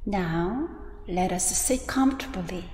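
A woman speaks at a very slow pace in a gentle, calm tone, with audible room echo and light background noise. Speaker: Buddhist teacher leading guided meditation. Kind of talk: guided meditation and dharma talk. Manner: slow, gentle, calm; soothing, with long pauses between phrases. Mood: calm, soft, gentle. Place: church.

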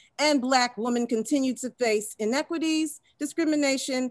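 In a quiet background with dry, echo-free sound, a woman talks at a high pitch. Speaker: panel moderator. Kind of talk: webinar introduction, partly read. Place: office. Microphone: video call.

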